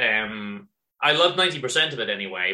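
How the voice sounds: A man speaks in a bright, sharp tone. Audible room echo surrounds his voice.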